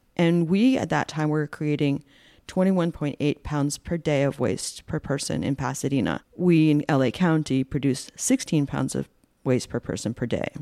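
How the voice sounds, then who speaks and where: A woman speaks at a very deep, low pitch with a dark, mellow tone and ordinary pitch variation, at a moderate pace. The recording is very clean with a silent background and a dry, close sound with no echo. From Rhode Island. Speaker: shop owner and environmental activist. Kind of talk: interview.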